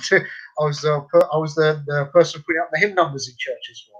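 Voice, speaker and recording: A fairly high-pitched man with a London accent and ordinary pitch variation. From London, England. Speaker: convert and tour guide. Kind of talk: radio interview. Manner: hesitant, many fillers.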